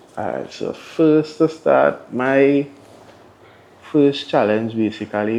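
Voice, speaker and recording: His pace is very slow. The man's intonation stays lively throughout. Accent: Trinidadian. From Tobago. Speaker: DJ. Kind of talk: interview answer. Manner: casual.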